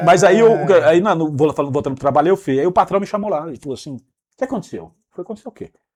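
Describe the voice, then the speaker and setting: A high-pitched male voice at a very fast pace, with lively intonation and big swings in loudness. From São Paulo, Brazil. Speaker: business manager telling his life story. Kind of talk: interview storytelling.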